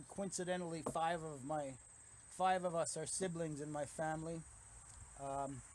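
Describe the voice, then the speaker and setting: A man's fairly high voice at a moderate pace, with fairly even intonation and long, frequent pauses. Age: 60s. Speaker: gardening video host. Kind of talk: casual vlog talk. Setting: at home, filming with handheld camera. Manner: halting, with fillers.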